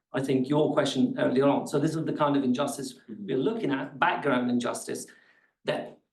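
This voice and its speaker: Moderate pace from a man at a fairly high pitch, ordinary pitch variation, audible room echo around him. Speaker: academic researcher presenting a paper. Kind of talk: academic seminar talk.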